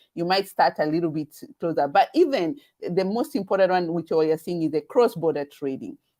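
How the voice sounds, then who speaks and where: Lively intonation at a fairly quick pace, with a Kenyan accent. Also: woman. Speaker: webinar host, event organizer. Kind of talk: live webinar promotion chat. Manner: halting, many fillers and repetitions.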